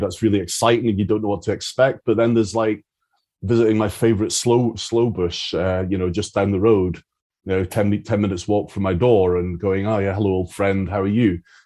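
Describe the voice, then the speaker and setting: Fairly quick delivery in a Scottish accent, monotone and flat, with a dark, mellow tone and a quiet background. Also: man. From Scotland, Isle of Arran. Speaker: foraging tutor. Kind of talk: interview conversation. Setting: video call.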